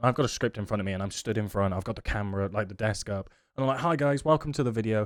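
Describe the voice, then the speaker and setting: Here a man speaks with lively intonation. The recording is very clean, with a silent background. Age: 30s. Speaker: podcast host and streamer. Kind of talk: casual chat. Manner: halting, frequent pauses between few words.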